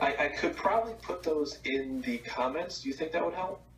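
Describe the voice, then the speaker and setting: With an American accent, a man speaks at a moderate pace with lively intonation. There is noticeable background noise. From New Jersey. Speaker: product company representative. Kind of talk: casual chat. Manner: hesitant.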